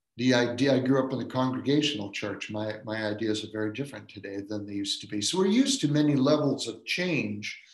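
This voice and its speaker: A man at medium pitch with an American accent, very fast and with hardly any pauses, ordinary pitch variation, audible room echo. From Maine, Washington County. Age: 70s. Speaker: professor of philosophy and religion. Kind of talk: dharma lecture.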